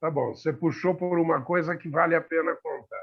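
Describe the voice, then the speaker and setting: A man with a high pitch. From Brazil, São Paulo. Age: 60s. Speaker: talk show panelist. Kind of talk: casual discussion.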